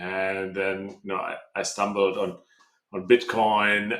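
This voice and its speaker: A man with a German accent, fairly low pitch, a bright, sharp tone, and a fairly slow pace. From Germany. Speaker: tech company co-founder. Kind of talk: interview. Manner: halting, many repeats and fillers.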